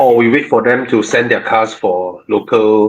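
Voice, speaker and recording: A man talks at a medium pitch with a Malaysian accent. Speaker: car show host. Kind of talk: live Q&A chat. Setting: live stream. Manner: soft-spoken.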